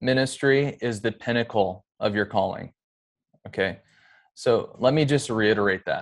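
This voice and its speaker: A man talks at a fairly slow pace in a plain, everyday voice. The recording is very clean, and the background is silent. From US Pacific Northwest (Edmonds, Washington). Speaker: pastor and former bank manager. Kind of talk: casual interview.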